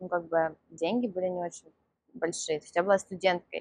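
A woman speaks at a medium pitch. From Russia, Moscow. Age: 20s. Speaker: dating coach. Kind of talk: interview.

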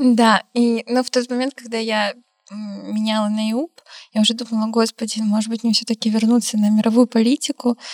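A woman with a fairly high pitch speaks at a moderate pace in a flat, monotone delivery, her voice somewhat breathy. The sound is dry and close, with no echo. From Stavropol, southern Russia. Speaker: law master's student abroad. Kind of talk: casual interview chat.

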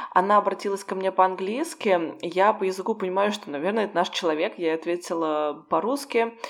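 A woman's plain, everyday voice, medium in pitch with ordinary pitch variation, at a fairly quick pace with hardly any pauses. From Russia. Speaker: podcast co-host, Russian expat. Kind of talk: casual chat.

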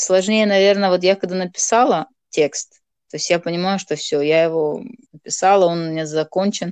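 A woman speaks at a medium pitch and moderate pace. The background is quiet. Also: ordinary pitch variation, dry, close sound with no echo. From Moldova. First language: Gagauz (Turkic) (speaking Russian). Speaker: writer and blogger. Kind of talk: casual interview.

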